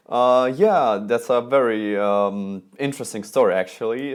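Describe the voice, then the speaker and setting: Speaking very slowly, a man keeps his intonation fairly even. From Russia, Moscow. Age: 20s. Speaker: calligraphy and lettering artist. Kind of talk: interview. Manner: halting.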